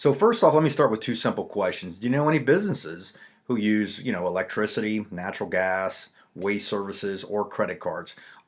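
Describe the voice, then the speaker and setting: Fairly quick, lively speech from a man with a fairly low pitch. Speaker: business co-founder presenting. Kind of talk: sales pitch. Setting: webinar presentation. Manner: fast.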